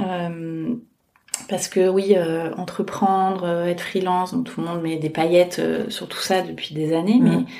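A woman talks at a fairly slow pace. Her voice sits at a medium pitch. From France, Scottish father. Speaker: podcast creator. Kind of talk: casual interview.

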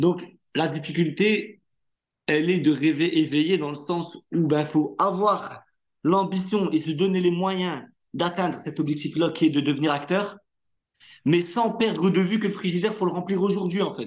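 A man with a high voice talks at a medium speed, his pitch shifting normally, with only quiet in the background. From northern France (Hauts-de-France). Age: 30s. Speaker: actor. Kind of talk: casual interview.

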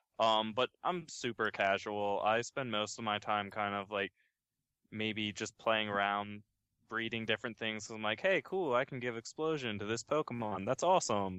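With an unremarkable speaking voice, a man talks at a moderate pace, his pitch fairly low and his pitch variation ordinary. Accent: American. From Baltimore, US. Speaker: Pokemon blog writer. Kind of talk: casual chat.

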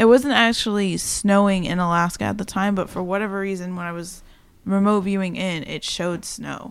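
Talking at a fairly quick pace, a woman has a normal speaking voice, medium pitch, fairly even intonation and big swings in loudness. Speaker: podcast co-host. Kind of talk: casual chat. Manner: playful, chatty.

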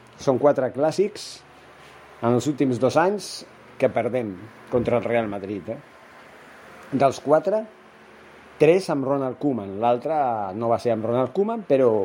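In a Spanish accent, a man talks at a very slow pace with long, frequent pauses, lively intonation, a medium pitch and a dark, mellow tone. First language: Spanish (speaking Catalan). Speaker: football podcaster. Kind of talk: solo football commentary podcast. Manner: hesitant, many fillers.

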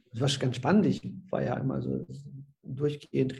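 A man's dark, mellow tone at medium pitch, with vocal fry and a moderate pace. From Silesia (ethnic German family), moved to Rhineland Germany as a child. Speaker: social pedagogue. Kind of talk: interview. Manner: halting.

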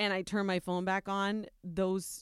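A woman speaks with an American accent at a moderate pace and medium pitch. The recording is very clean and dry, with a silent background and a close sound free of echo. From US Midwest, Ohio. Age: 40s. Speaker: radio morning show co-host. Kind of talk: casual interview. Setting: radio studio. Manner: animated.

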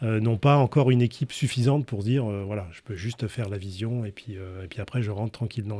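The man's voice sits at a medium pitch with a dark, mellow tone and ordinary pitch variation. He speaks at a very fast pace on a very clean recording with a silent background. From northern France. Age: 50s. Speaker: entrepreneur. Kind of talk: interview. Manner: hesitant, with fillers.

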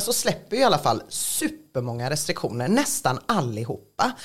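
A woman is talking. Her voice swings very widely in pitch. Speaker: podcast host. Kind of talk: casual chat.

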